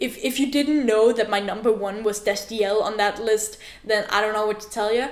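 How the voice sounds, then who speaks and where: A woman's fairly high voice over noticeable background noise. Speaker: book vlogger. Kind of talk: casual vlog. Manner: animated, excitable.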